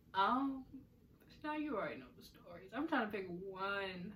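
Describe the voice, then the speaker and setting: At a fairly slow pace, a woman speaks in an animated tone, her medium-pitched voice bright and sharp. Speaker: podcast host. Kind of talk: casual chat.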